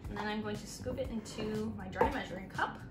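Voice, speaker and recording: A woman is speaking. Music plays behind her. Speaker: teacher giving a cooking demo. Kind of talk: tutorial. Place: kitchen. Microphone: camera far.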